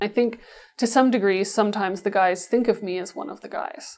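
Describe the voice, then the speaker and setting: At a fairly quick pace and with fairly even intonation, the speaker uses a plain, everyday voice. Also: woman. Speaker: mining executive. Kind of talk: interview.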